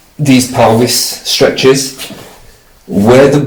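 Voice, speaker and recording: Over noticeable background noise and audible room echo, the speech moves at a very slow pace with ordinary pitch variation. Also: man. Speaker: patient. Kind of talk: doctor's appointment conversation. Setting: doctor's consulting room.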